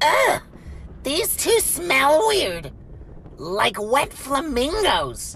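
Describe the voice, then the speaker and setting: Against clear background noise, a high-pitched voice moves at a very slow pace with long, frequent pauses. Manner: gruff, exasperated.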